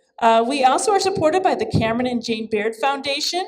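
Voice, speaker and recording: A loud, high-pitched woman's voice at a fairly quick pace. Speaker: arts center director. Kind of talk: event introduction speech. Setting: gallery event with audience.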